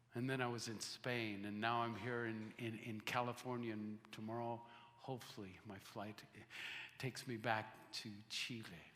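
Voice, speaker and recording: A man's bright, sharp voice at medium pitch, flat and monotone, at a moderate pace, with audible room echo. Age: 60s. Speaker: missionary. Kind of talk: sermon. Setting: church.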